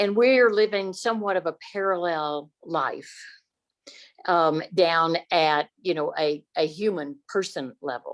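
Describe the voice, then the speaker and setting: Her pitch is fairly low, with ordinary variation. The woman speaks at a very slow pace. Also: quiet background. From Texas, Dallas. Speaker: audience member, former historical interpreter. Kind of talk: audience question and comment. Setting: video call. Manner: halting.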